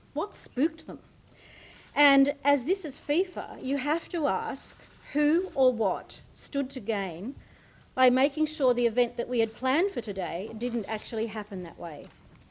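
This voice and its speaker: A woman with an Australian accent speaks at a fairly slow pace. Her high pitch moves in very wide swings. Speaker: debate chair. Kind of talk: formal speech.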